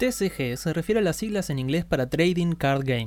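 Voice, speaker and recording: A man's fairly high voice in a Rioplatense accent, with lively intonation and a fairly quick pace, over a very clean recording and a silent background. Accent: Argentine Spanish (rioplatense). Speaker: podcast co-host. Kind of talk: scripted narration; casual chat.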